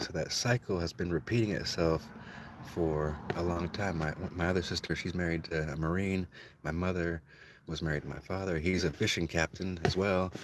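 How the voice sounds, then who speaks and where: This man's voice is very deep and low, with fairly even intonation and a moderate pace. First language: Spanish. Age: 40s. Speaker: livestreamer telling life story. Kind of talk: personal monologue storytelling. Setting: livestream. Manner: casual, halting with repetitions.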